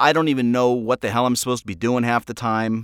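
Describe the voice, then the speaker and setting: On a very clean recording with a silent background, a man at medium pitch speaks at a very fast pace. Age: 40s. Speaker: podcast host and audio drama creator. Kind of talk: casual solo update monologue. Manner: casual, with filler words and repetitions.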